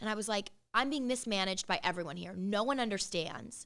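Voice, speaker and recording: A woman with a Californian accent talks at a very fast pace in an animated tone. The recording is very clean with a silent background. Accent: Californian American English. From Los Angeles, San Fernando Valley. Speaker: singer and radio host. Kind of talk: interview. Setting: studio.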